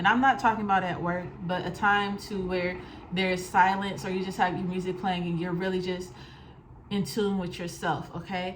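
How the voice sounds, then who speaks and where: With noticeable background noise and audible room echo, a woman speaks at a medium pitch. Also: fairly even intonation. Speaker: tarot reader. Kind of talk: tarot reading monologue. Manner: fast; casual.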